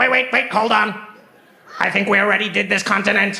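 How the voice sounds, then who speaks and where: Using a put-on character voice, a man talks at a fairly quick pace in a high pitch. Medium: stage play. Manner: sci-fi military commands.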